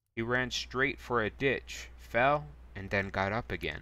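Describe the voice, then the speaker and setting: Fairly low in pitch, a man speaks with a bright, sharp tone and vocal fry. His pitch swings very widely. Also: very clean recording, silent background. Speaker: streamer. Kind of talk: reading aloud. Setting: live stream. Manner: soft-spoken.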